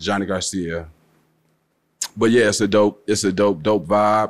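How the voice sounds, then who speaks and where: A man speaks in a fairly low voice with flat, monotone intonation. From Chicago, West Side (Austin); Chicago. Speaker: rapper; guest. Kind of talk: casual interview. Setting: studio. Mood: relaxed, casual. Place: studio. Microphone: studio mic.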